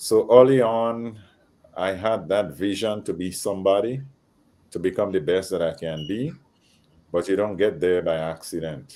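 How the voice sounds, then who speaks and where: Speaking at a moderate pace with long, frequent pauses, a man has a fairly low pitch, ordinary pitch variation and a dark, mellow tone. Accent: slight Grenadian. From Grenada, Caribbean. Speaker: panel guest. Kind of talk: panel discussion.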